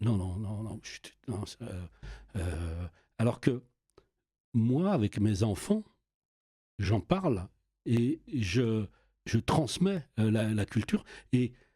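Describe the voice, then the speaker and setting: Speaking at a very slow pace with long, frequent pauses, a man with a dark, mellow, somewhat breathy tone uses lively intonation and big swings in loudness, recorded dry and close with no echo. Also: medium pitch for a man. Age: 60s. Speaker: youth worker and local councillor. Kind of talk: casual chat. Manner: halting, many repetitions.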